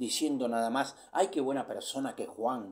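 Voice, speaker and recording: Here is a man speaking. His pitch is fairly high. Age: 60s. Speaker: preacher. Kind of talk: sermon.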